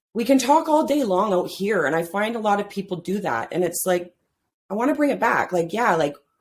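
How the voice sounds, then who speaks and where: At a moderate pace, a woman speaks at medium pitch with very wide pitch swings. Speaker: men's life coach. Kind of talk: podcast interview. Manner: loud; talkative, animated.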